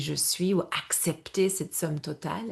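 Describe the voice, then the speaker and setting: A somewhat breathy woman's voice with an English accent, fairly low in pitch, very slow, with ordinary pitch variation and a quiet background. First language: English (speaking French). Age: 50s. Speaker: yoga and menopause coach. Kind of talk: webinar presentation. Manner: halting, self-correcting.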